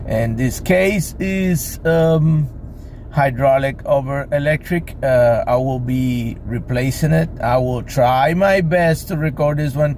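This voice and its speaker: Over noticeable background noise, a man with a fairly high pitch and ordinary pitch variation speaks at a very slow pace. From Cuba. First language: Spanish. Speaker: boat mechanic. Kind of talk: tutorial. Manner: halting.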